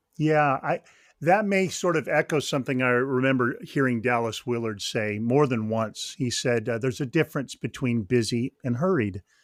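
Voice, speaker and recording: In a General American accent, a man with a normal speaking voice talks at a moderate pace and medium pitch with ordinary pitch variation. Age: 60s. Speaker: author and ministry leader. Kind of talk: podcast interview.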